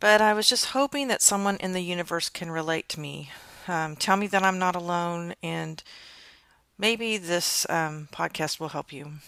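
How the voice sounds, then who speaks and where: A woman's fairly low, bright and sharp voice with big swings in loudness, dry and close with no echo, on a very clean recording with a silent background. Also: ordinary pitch variation, moderate pace. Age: 60s. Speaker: podcast host sharing personal experience. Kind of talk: solo podcast monologue. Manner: casual with frequent fillers.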